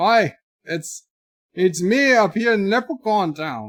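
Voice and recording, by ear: A man speaks at a fairly slow pace in a put-on character voice pitched high, with a very clean recording and a silent background.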